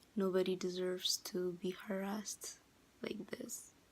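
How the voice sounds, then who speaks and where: Here a woman speaks at a very slow pace. She has a slight non-native accent. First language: not English. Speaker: vlogger. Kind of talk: casual vlog monologue. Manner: hesitant, many fillers.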